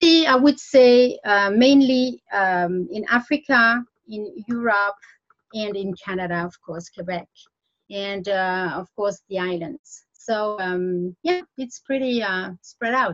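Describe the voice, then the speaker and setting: Speaking very slowly in a French accent, a woman uses a medium pitch, lively intonation and big swings in loudness. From French-speaking Switzerland. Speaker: French teacher. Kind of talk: interview. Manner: halting, many repetitions and fillers.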